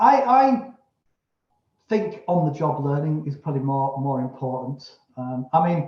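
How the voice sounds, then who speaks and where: Somewhat breathy, a man speaks at a fairly slow pace, his fairly high pitch showing ordinary variation. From England. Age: 60s. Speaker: manufacturing business owner. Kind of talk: podcast interview. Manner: halting.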